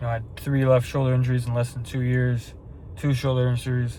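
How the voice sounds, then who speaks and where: A man's somewhat breathy, dark and mellow voice, fairly quick and monotone, with flat intonation. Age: 20s. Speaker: fitness vlogger and online coach. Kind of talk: casual vlog talk to camera. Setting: at night, about to drive to the store. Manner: rambling, repetitive.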